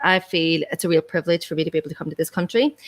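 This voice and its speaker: A woman with an Irish accent and a fairly low pitch, speaking at a very fast pace in a dry, close sound with no echo. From Ireland. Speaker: podcast host on remote-work visa. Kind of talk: interview.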